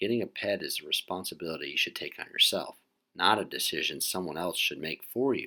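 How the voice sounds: A natural reading voice with lively intonation is heard against a quiet background.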